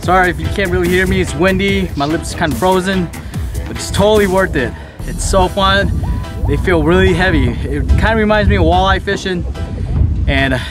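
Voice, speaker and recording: Clear music sits in the background as a man talks at a fairly quick pace, his voice dry with no echo. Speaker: fishing vlogger. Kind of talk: casual vlog chat. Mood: happy, excited. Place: waterside. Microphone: phone near.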